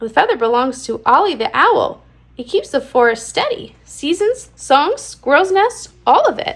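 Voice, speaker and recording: In a put-on character voice, a woman sounds squeaky and high-pitched, talking at a moderate pace. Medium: read story. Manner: dramatic, chatty.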